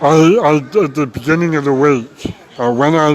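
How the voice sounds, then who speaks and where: Against noticeable background noise, a man speaks very slowly with ordinary pitch variation. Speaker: vegan activist. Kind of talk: casual talk to camera. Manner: hesitant, many filler words.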